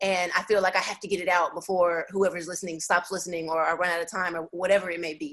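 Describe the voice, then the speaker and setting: Her pitch is medium. The woman moves along at a fairly quick pace. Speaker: rapper. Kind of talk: interview. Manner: fast.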